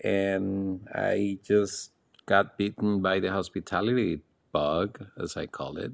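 A very slow pace from a man with a fairly low pitch. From Costa Rica. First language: Spanish. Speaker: luxury hotel managing director. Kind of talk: interview. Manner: calm; formal.

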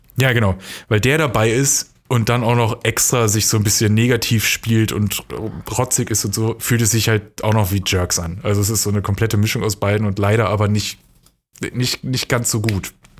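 The speaker has an unremarkable speaking voice and fairly even intonation. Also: man, fairly low pitch for a man, moderate pace. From western Germany, near Dortmund (NRW). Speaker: podcast co-host. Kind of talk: casual chat.

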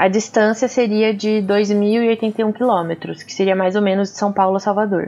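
Over music in the background, a woman speaks at medium pitch with fairly even intonation. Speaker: podcast co-host. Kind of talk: casual chat.

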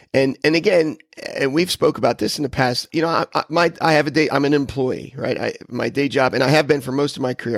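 A dry, close sound with no echo, a fairly quick pace, ordinary pitch variation and some vocal fry. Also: man. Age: 50s. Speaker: podcast guest. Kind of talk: casual interview. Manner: halting, with many repetitions.

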